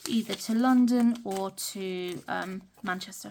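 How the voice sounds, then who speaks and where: A woman with a British accent and a fairly high, somewhat breathy voice speaks at a very slow pace with ordinary pitch variation. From UK. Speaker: budgeting vlogger. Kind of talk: casual talk-through tutorial. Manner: hesitant, many fillers.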